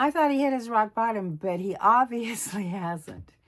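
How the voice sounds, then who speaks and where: Fairly high-pitched, a woman's a normal speaking voice at a moderate pace, its intonation lively. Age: 60s. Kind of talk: casual talk to camera.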